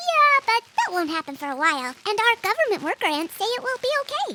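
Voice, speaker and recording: A female-sounding put-on character voice swings very widely in pitch, extremely high, at a fairly quick pace. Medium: audio drama.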